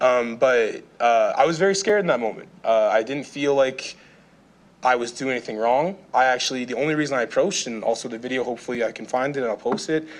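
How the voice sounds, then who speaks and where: Over a quiet background, a man speaks at a very fast pace. His pitch is medium with ordinary variation. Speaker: public delegate at city council. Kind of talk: public testimony. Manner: halting.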